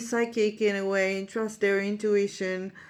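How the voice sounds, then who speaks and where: A woman talks in a medium pitch, keeping a fairly slow pace. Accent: Israeli. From Israel. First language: Hebrew. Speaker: psychic medium and life coach. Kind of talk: monologue to camera, storytelling. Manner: halting, many fillers.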